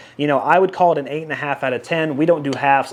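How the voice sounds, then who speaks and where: A man speaks while noticeable background noise runs underneath. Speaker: golf ball reviewer. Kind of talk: product review. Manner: fast; casual, conversational.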